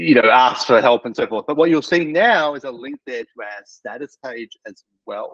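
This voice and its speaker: With lively intonation and big swings in loudness, a man speaks in a dry, close sound with no echo. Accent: Australian. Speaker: practice management software specialist. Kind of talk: casual product update chat. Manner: fast; many fillers and hesitations.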